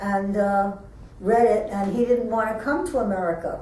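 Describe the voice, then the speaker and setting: Noticeable background noise and audible room echo surround the recording. A woman of medium pitch speaks at a moderate pace. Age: 90s. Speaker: interviewee. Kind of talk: oral history interview. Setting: museum.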